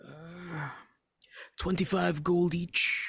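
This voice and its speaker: A man uses a put-on character voice, raspy and high-pitched. The pitch sits high for a man. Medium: actual play. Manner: polite, formal, measured.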